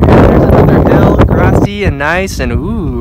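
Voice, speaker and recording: A fairly slow pace in a dry sound with no echo, under loud background noise. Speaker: vlogger. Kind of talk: casual vlog chat. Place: open country. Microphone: phone near.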